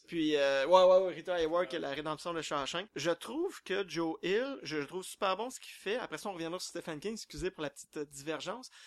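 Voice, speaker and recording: The voice moves at a fairly quick pace with hardly any pauses, ordinary pitch variation and big swings in loudness. The recording is very clean, with a silent background and a dry, close sound with no echo. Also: man, high pitch for a man. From Quebec. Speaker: horror novelist. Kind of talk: panel discussion.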